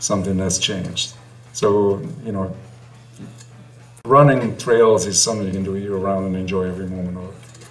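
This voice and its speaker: Fairly low male voice with fairly even intonation, at a fairly quick pace with long, frequent pauses, amid music in the background and audible room echo. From Italy. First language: Italian. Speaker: trail runner, running group co-founder. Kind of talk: podcast interview.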